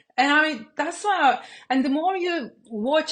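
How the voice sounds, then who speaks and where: Against a quiet background, a woman with a Turkish accent speaks with lively intonation. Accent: Turkish-accented English, self-described. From Turkey. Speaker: business coach and YouTuber. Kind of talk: casual talk to camera. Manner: hesitant, many fillers.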